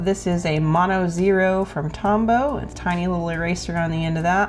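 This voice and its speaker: Over music in the background and audible room echo, a woman with an Oklahoma accent talks at a fairly low pitch. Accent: Oklahoma country. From Oklahoma, US. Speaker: painter. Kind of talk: tutorial. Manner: casual, conversational.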